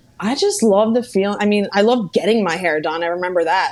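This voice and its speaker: A woman with a Philadelphia accent talks at a fairly quick pace with ordinary pitch variation. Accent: Philadelphia-area American English. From US, Bucks County, Pennsylvania near Philadelphia. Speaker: hair stylist. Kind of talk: podcast interview.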